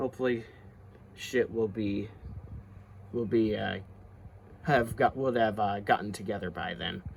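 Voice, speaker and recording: A man puts on a raspy character voice at a fairly low pitch and a moderate pace. He leaves long, frequent pauses, with clear background noise behind him. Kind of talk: casual commentary. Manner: stuttering, halting.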